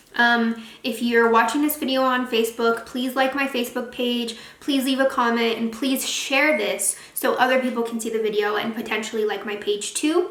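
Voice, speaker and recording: Fairly even intonation is heard through audible room echo and noticeable background noise. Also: woman, high pitch for a woman. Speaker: beauty youtuber. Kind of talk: product review vlog. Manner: fast; casual, chatty.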